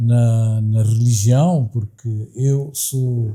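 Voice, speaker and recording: Somewhat breathy and dark, mellow in tone, a man speaks at a very slow pace. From Mozambique, Maputo (Xamanculo). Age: 60s. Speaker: university director, academic. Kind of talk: interview. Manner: formal, with hesitations.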